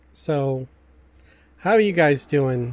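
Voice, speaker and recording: A man talks at a fairly slow pace. There is music in the background. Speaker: gaming streamer. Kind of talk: live stream gameplay chat. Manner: hesitant, with fillers.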